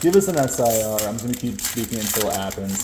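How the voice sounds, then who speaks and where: Noticeable background noise hums along. The talking goes by at a very fast pace. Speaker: collectibles content creator. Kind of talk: casual vlog commentary, pack opening. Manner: animated.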